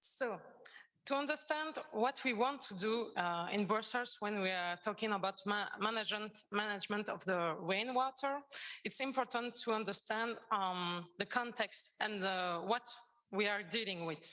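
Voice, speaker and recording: A woman with a French accent speaks at a moderate pace in a fairly high voice, with ordinary pitch variation and a bright, sharp tone. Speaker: environmental agency water coordinator. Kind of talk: conference presentation. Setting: conference with audience. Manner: halting.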